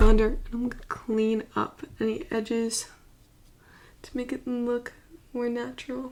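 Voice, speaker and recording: Quiet and mumbling, a woman talks at a moderate pace with fairly even intonation and a fairly high pitch. Background noise is noticeable. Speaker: beauty vlogger. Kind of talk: makeup tutorial talk to camera. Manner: quiet, mumbling.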